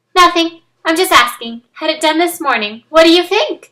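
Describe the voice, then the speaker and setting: A woman's squeaky put-on character voice, extremely high-pitched, at a moderate pace. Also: lively intonation. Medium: read story. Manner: sweet yet stern.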